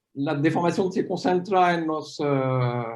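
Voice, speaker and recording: A man speaks with a French accent. His pace is very slow, with ordinary pitch variation. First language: French (speaking Spanish). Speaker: paleomagnetism scientist. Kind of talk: academic Q&A after a talk.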